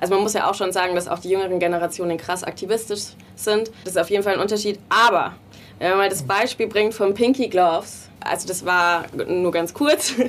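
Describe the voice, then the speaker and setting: With a normal speaking voice, a woman of medium pitch talks at a fairly quick pace with ordinary pitch variation. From small town in Bavaria. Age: 20s. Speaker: designer and game co-founder. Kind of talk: interview.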